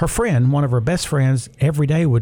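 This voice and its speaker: Here a man speaks at a fairly quick pace. His voice has a dark, mellow tone and is somewhat breathy. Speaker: radio host. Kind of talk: radio announcer patter, a warm scripted-sounding break lead-in. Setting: studio. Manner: upbeat, chatty and jovial; smooth, practiced sign-off delivery.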